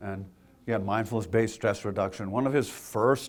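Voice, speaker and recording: A man talks at medium pitch and a moderate pace, his pitch varying in an ordinary way. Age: 60s. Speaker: mental health clinician. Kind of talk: lecture.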